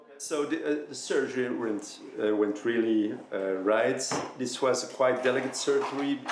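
In a room with audible echo and light background noise, a man talks at a fairly slow pace with fairly even intonation. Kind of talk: interview answer. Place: office.

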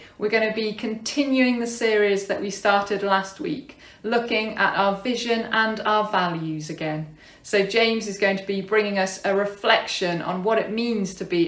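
With audible room echo, a woman talks at a moderate pace with hardly any pauses. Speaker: church minister. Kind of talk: service welcome and announcements. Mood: warm and welcoming. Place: home room. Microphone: phone near.

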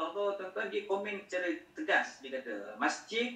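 There's audible room echo around a bright, sharp tone, with a Malaysian accent. The pitch swings very widely. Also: man. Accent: Malaysian Malay. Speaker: Islamic scholar and teacher; teacher. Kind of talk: lecture. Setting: video call. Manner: soft-spoken. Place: home room.

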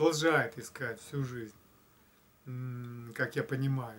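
Somewhat breathy, a man speaks at a very slow pace. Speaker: spiritual blogger; video blogger. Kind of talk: reflective monologue. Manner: hesitant with fillers. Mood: calm, thoughtful. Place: home room. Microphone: camera far.

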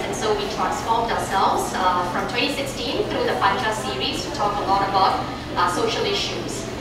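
Loud background noise and audible room echo surround a woman as she speaks. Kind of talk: presentation talk. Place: meeting room. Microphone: camera far.

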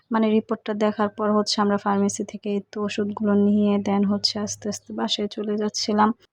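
Flat, monotone intonation marks this woman's medium-pitched voice. The sound is dry and close with no echo, and the background is quiet. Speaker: vlogger. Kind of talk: vlog narration. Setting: outside a hospital.

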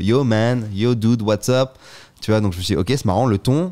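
A man talks at a moderate pace in a fairly low, dark, mellow voice with ordinary pitch variation. The background is quiet. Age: 30s. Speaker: podcast guest. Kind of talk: casual chat; interview answer. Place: home room. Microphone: studio mic.

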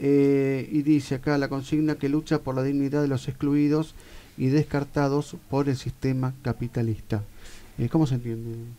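A dark, mellow tone with monotone, flat intonation. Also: man, fairly high pitch for a man, moderate pace. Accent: Rioplatense. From Argentina, La Plata. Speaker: radio host. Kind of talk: radio interview. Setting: studio. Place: studio. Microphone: studio mic.

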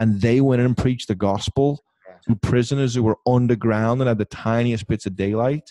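A man speaks in a dark, mellow tone with fairly even intonation at a fairly quick pace, his loudness swinging widely. The sound is dry with no echo, over a quiet background. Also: medium pitch for a man, hardly any pauses. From England. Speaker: podcast host and missionary pastor; podcast host, missionary pastor. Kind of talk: casual chat. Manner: fast. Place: home room. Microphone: studio mic.

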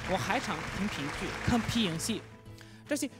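A man speaks at a high pitch. Clear music plays in the background. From Pakistan. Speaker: foreign university teacher. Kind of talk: personal story narration. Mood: warm, earnest, grateful. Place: stage. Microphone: handheld.

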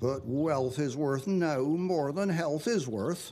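With a Dorset accent, a man talks at a very slow pace in a fairly high voice with a dark, mellow tone. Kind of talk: poetry reading. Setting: television programme.

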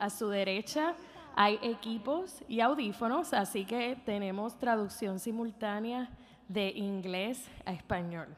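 Over light background noise, a woman talks at a moderate pace with ordinary pitch variation. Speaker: event host. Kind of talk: event announcements. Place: stage. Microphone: podium.

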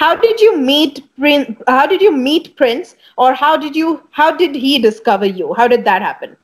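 Against a quiet background, a woman with a high-pitched voice speaks at a moderate pace with hardly any pauses and very wide pitch swings. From India. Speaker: bass player and talk show host; talk show host. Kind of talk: interview. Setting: video call. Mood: friendly, cheerful. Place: home room. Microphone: earbuds.

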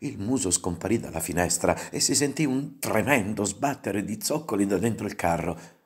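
Lively intonation in a natural reading voice

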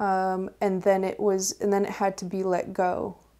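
Very slowly, a woman speaks in a dark, mellow tone with flat, monotone intonation. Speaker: tarot reader. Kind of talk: tarot reading video. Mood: calm, reflective. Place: home room.

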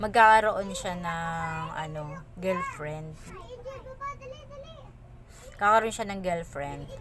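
A woman talks at a very slow pace, her loudness swinging widely. Her voice carries audible room echo over noticeable background noise. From Philippines, Bicol. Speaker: vlogger. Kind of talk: personal storytelling. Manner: halting, many fillers.

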